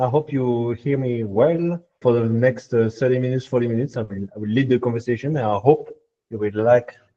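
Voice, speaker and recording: The speaker has a French accent. The intonation stays fairly even. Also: man. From France. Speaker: machine learning engineer. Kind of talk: technical workshop talk. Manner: hesitant, many filler sounds.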